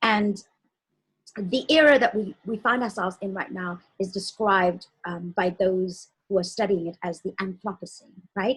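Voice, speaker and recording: A woman talks at a moderate pace in a somewhat breathy, medium-pitched voice with ordinary pitch variation. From South Africa. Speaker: talk show co-host. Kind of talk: interview show introduction.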